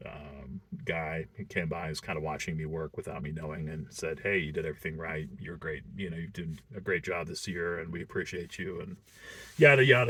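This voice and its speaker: A man with a very deep, low pitch talks at a fairly quick pace, his intonation lively and his loudness swinging widely. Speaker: delivery driver reviewing a seasonal job. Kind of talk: casual vlog talk to camera. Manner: casual with many fillers.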